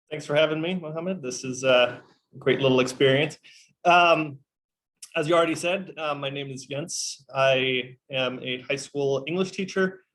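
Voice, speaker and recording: In an American accent, a man with a plain, everyday voice speaks at a moderate pace and a fairly high pitch with fairly even intonation. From Kenya. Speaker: teacher. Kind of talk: interview.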